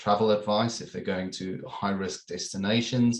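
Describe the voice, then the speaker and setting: Fairly low in pitch, a man with a South African accent speaks with fairly even intonation. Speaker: corporate security manager. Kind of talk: webinar panel discussion.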